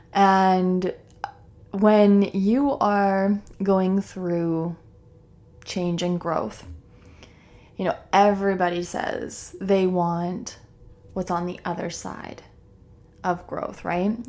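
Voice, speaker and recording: Speaking at a very slow pace with long, frequent pauses, a woman uses a dark, mellow tone, a medium pitch and fairly even intonation. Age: 30s. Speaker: mindset coach and yoga instructor hosting a wellness podcast. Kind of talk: solo podcast monologue, unscripted. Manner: casual, conversational with frequent fillers and laughs.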